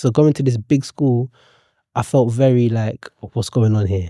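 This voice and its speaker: Fairly even intonation comes through on a very clean recording with a silent background and a dry, close sound with no echo. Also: man. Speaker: poet and author. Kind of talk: podcast interview. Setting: studio. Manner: monotone; quiet.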